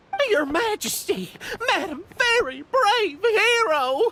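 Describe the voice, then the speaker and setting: Over music in the background, a put-on character voice speaks at an extremely high pitch and a fairly slow pace. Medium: video game. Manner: courteous, deferential.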